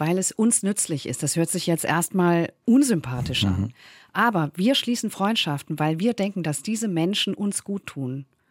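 A woman speaks at a moderate pace in fairly low pitch with lively intonation, in an ordinary speaking voice. The recording is very clean with a silent background and a dry, close sound with no echo. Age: middle-aged. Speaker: author and journalist. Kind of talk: radio interview.

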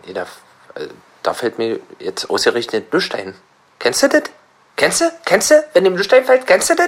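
Moderate pace broken by long, frequent pauses. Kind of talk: stand-up comedy with improvised gags, staged as a bit.

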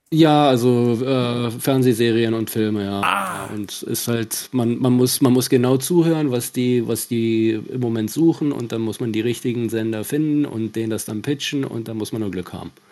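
Noticeable background noise sits behind a man talking at a moderate pace and medium pitch, with ordinary pitch variation and hardly any pauses. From Finland and Bavaria. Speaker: caller, TV producer. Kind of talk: casual chat.

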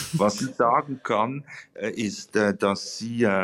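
A man's voice, dry and close with no echo. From Switzerland. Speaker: novelist. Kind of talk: interview.

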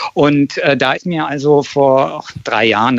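A man with an unremarkable speaking voice talks at a moderate pace and fairly high pitch. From Berlin. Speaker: documentary filmmaker. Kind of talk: radio interview.

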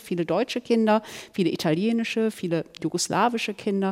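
Recorded dry and close with no echo, a woman with a plain, everyday voice speaks at a medium pitch and a fairly quick pace with ordinary pitch variation. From Germany, Ruhr area (Duisburg). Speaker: author and columnist. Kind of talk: panel discussion.

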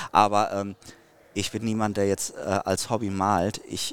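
A man with a plain, everyday voice, fairly low pitch and a fairly slow pace, on a very clean recording with a silent background. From Dortmund, Ruhr area, Germany. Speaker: fishing YouTuber. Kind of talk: casual interview.

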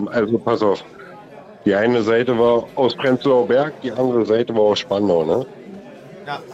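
A man speaks with ordinary pitch variation and long, frequent pauses. Crowd noise fills the background. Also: medium pitch for a man, moderate pace. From Berlin. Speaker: caller. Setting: phone call.

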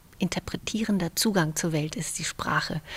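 Her voice is fairly low for a woman and somewhat breathy. She keeps a fairly even intonation. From Romania (Banat), raised in Germany from age eight. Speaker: novelist. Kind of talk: interview about her novel. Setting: memorial site, partly outdoors in cold.

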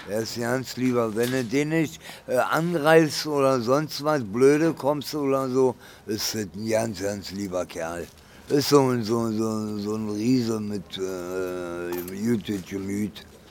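A man speaks very slowly at a medium pitch, his intonation lively. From Berlin. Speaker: homeless man. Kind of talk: casual chat. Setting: underground train station.

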